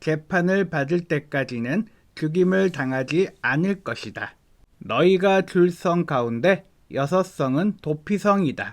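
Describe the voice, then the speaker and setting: This man has a high pitch and ordinary pitch variation, speaking at a very slow pace. The recording is very clean, with a silent background. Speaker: evangelist reading the Bible. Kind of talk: Bible reading aloud.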